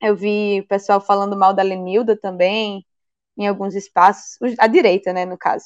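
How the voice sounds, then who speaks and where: A woman talks at a moderate pace and medium pitch in a monotone, flat intonation. The sound is dry and close with no echo, over a quiet background. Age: 20s. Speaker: mayoral candidate, activist. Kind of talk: interview.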